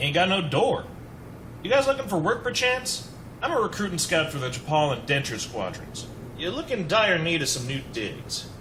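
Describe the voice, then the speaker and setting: A man puts on a character voice, drawling at a high pitch and a moderate pace. Clear background noise is present. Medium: machinima. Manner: casual, slangy, drawling.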